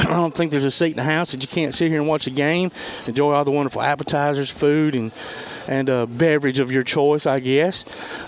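Fairly quick speech from a man with a fairly high pitch and a Southern US accent, fairly even intonation and very even loudness, over noticeable background noise. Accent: Southern, country. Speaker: sports radio show host. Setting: on location at a restaurant. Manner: casual, folksy.

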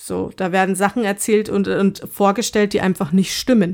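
A woman speaking at a very slow pace with fairly even intonation, in a very clean recording against a silent background. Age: 30s. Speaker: podcast co-host. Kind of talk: casual chat.

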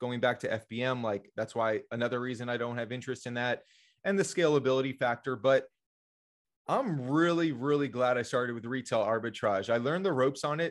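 A man with an ordinary speaking voice, medium pitch, ordinary pitch variation and a fairly quick pace. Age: 30s. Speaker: Amazon reseller. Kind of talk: podcast interview.

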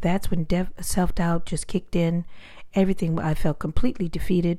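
A woman's calm, dark, mellow voice at a moderate pace, with ordinary pitch variation. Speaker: motivational speaker. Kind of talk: personal story talk.

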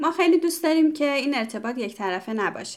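The speech races along at a very fast pace with lively intonation. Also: woman. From Iran. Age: 30s. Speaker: podcast co-host, graduate student. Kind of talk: casual podcast chat.

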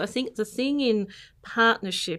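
A woman with an Australian accent, fairly high in pitch, bright and sharp in tone, with lively intonation, on a very clean recording with a silent background. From born in an English village, raised in Canberra from the 1970s. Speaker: accounting firm partner. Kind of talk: interview.

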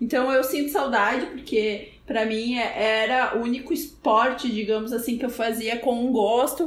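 Over noticeable background noise, a woman with a high pitch talks at a moderate pace, using ordinary pitch variation and hardly any pauses. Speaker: podcast co-host. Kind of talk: casual chat.

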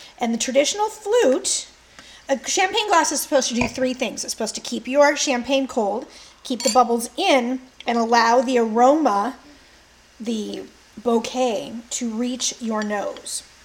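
A woman speaks at a fairly slow pace in a high pitch, with lively intonation and noticeable background noise. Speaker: podcast co-host, history storyteller. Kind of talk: casual chat.

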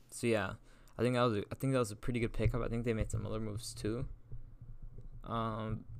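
A man talks very fast in a medium-pitched voice with vocal fry and monotone, flat intonation. He leaves long, frequent pauses. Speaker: sports podcast host. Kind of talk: casual chat. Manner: halting.

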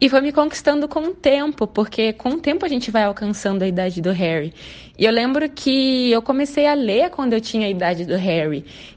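Her fairly high voice swings very widely in pitch as this woman talks at a fairly quick pace. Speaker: fan contributor. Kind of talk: recorded testimony.

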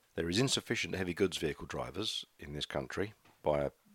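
A man with a very deep, low pitch talks at a very fast pace, using lively intonation and vocal fry, in a dry, close sound with no echo. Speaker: podcaster, charity shop volunteer. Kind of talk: casual solo chat. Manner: hesitant, filler-heavy.

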